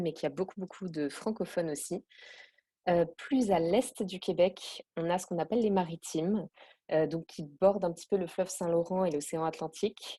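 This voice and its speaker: The recording of this woman is dry and close, without any echo. Her intonation stays fairly even. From France, Alsace. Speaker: expatriate interviewee. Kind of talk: podcast interview. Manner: hesitant, many fillers.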